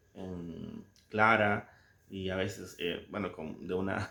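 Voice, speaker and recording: In a Salvadoran accent, a man speaks with monotone, flat intonation on a very clean recording with a silent background. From El Salvador. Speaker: book commentator. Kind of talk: casual book commentary with readings. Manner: halting, many fillers and repetitions.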